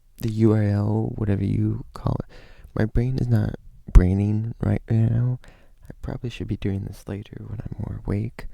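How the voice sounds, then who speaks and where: Quiet and at a moderate pace, a man speaks with big swings in loudness. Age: 20s. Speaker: youtuber. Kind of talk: casual vlog talk. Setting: at home. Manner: kept quiet.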